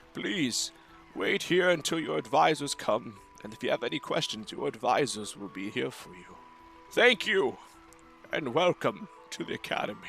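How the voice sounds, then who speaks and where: A man's put-on character voice at a fairly high pitch, moderate pace, big swings in loudness and long, frequent pauses, with clear music in the background. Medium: actual play. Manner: formal, ceremonious.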